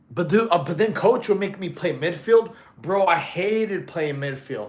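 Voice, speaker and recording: The man sounds animated. His intonation is lively. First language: Russian. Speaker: fitness streamer. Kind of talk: casual chat. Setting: live stream.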